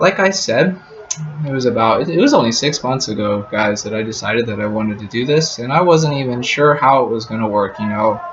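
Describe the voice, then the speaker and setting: An American-accented man at medium pitch and a fairly quick pace, with noticeable background noise. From US, Colorado. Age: 20s. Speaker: travel vlogger. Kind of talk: casual vlog talk to camera. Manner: repetitive, halting filler words.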